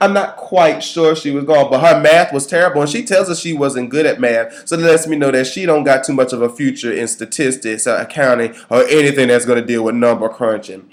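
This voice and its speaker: A man with a fairly high voice speaks fairly quickly in an animated tone with hardly any pauses over noticeable background noise. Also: ordinary pitch variation. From US South. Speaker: video commentator. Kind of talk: reaction commentary.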